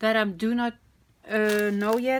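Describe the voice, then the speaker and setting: A woman speaks with a non-native accent. Her fairly high pitch stays in a monotone, flat intonation. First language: not English. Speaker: crafting video creator. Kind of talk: product unboxing, casual. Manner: hesitant, many fillers.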